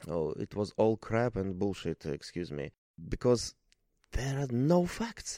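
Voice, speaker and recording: A man's dark, mellow voice with a Russian accent at a fairly slow pace, in a very clean recording against a silent background. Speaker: media editor. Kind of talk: interview. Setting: hotel lobby, early morning. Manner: halting, with many fillers.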